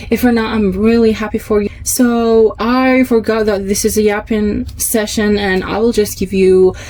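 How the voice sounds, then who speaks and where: A woman's fairly high voice at a moderate pace, over noticeable background noise. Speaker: podcast host. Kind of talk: scripted monologue. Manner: loud; animated.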